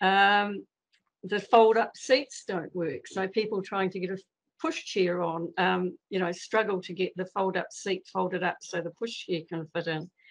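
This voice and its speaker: Speaking at a fairly slow pace with a New Zealand accent, a woman keeps a medium pitch and fairly even intonation. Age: 70s. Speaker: member of the public making a submission. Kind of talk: public submission at council meeting. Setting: video call. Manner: hesitant, many fillers.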